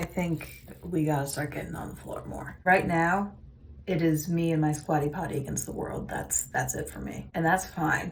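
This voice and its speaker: A woman talks at a moderate pace with big swings in loudness, and audible room echo surrounds her. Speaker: vlogger. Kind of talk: casual vlog monologue.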